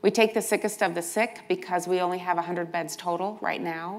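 A woman with an unremarkable speaking voice talks at a medium pitch with ordinary pitch variation. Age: 60s. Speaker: nonprofit healthcare CEO; panelist. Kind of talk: conference panel talk. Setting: stage with audience. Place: hall. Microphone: lapel.

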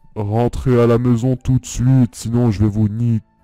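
Over faint background music, a man uses a put-on character voice at medium pitch and a moderate pace. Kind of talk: mock-godlike. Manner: menacing, commanding.

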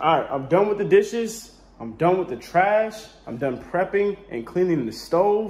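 A man at a moderate pace, his intonation lively. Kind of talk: comedic skit dialogue. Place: home room. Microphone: phone near.

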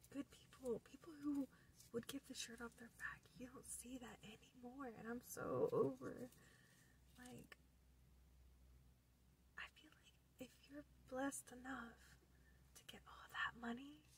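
A woman whispers at a fairly slow pace with long, frequent pauses. Her loudness swings a lot, with light background noise behind her. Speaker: ASMR creator. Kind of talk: casual talk to camera. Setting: in a car. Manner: whispered. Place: car. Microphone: phone near.

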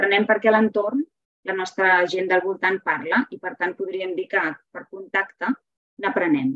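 A woman speaks with ordinary pitch variation. She leaves long, frequent pauses. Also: medium pitch for a woman, fairly slow pace, quiet background. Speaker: literature teacher and reading promoter. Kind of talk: webinar lecture with slides. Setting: video call webinar. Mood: warm, enthusiastic. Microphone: webcam.

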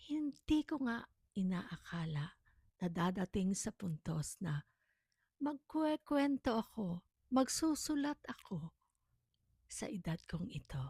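Speaking at a very slow pace with long, frequent pauses, a woman uses a medium pitch with very wide pitch swings, a somewhat breathy, dark, mellow tone, and a dry, close sound with no echo. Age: 60s. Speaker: storyteller vlogger. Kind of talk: personal testimony.

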